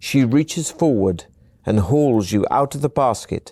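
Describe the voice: What is heard here is plain reading aloud.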